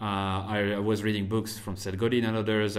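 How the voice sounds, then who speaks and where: Speaking with a French accent, a man talks at a fairly quick pace in a fairly low pitch. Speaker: marketer and podcast host. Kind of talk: interview. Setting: remote call.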